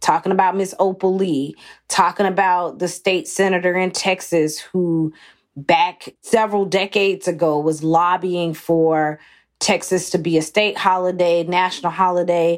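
Here a woman speaks with a fairly low pitch. Her intonation is monotone and flat. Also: moderate pace, very clean recording, silent background. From US South, Athens, Georgia. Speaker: cookbook author and food writer. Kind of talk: interview conversation.

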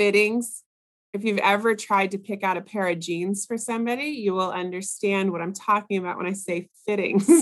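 Using an unremarkable speaking voice, a woman talks at a medium pitch with fairly even intonation. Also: moderate pace. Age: 40s. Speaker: costume designer and professor. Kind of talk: casual interview.

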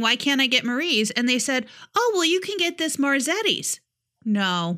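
Raised and projected, a woman's high-pitched voice with an American accent carries a bright, sharp tone and very wide pitch swings. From upstate New York. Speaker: podcast co-host. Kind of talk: casual chat. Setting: remote recording at home in Tennessee.

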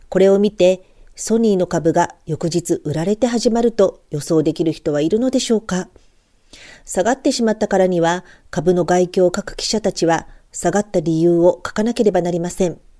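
A woman with a dark, mellow tone speaks at medium pitch and a moderate pace, her pitch varying in an ordinary way. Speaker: trader and stock blogger. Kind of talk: scripted market report. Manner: formal.

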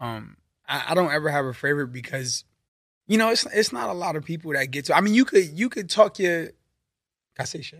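With a New York accent, a man talks at a fairly quick pace and fairly high pitch, his voice swinging very widely in pitch between long, frequent pauses. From Brooklyn, New York. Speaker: drummer and music producer. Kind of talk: casual chat. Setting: studio.

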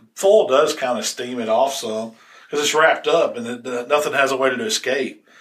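With a Southern US accent, a man speaks at a medium pitch and a fairly quick pace. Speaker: barbecue podcast host. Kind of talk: casual chat. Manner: fast.

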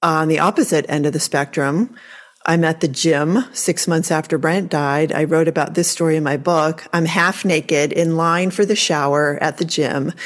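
At a moderate pace, a woman talks in a fairly low pitch with a plain, everyday voice. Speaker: podcast host and grief educator. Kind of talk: interview conversation.

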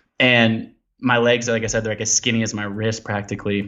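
A man speaks with a West Coast accent at a fairly low pitch. His intonation is monotone and flat. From US Pacific Northwest, Portland, Oregon. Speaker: explorer and endurance athlete. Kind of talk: interview conversation. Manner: hesitant fillers, many ums and uhs.

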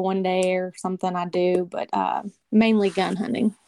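A woman speaks at a moderate pace with a Kentucky accent and ordinary pitch variation. The sound is dry and close, with no echo. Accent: Kentucky Southern. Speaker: hunter and social media influencer. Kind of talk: casual interview chat. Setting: phone call.

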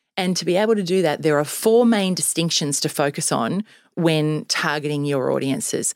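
Speaking at a fairly slow pace, a woman uses lively intonation at a fairly low pitch. She speaks with an Australian accent. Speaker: sales trainer and business founder. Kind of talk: interview. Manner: energetic, upbeat.

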